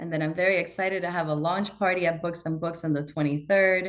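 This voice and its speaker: A woman speaks with a Spanish accent. Her pitch is fairly low. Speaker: bank executive. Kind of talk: interview.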